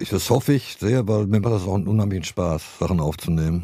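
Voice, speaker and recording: A man speaks with a very deep, low pitch and ordinary pitch variation. His tone is dark and mellow. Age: 60s. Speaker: rock guitarist and songwriter. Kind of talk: interview, casual chat. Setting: small studio, live podcast.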